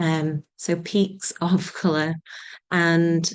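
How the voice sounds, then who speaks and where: A woman speaks with a Yorkshire accent against a quiet background. Her pitch is fairly low and her intonation fairly even. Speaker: nature writer and community group founder. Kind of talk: panel introduction.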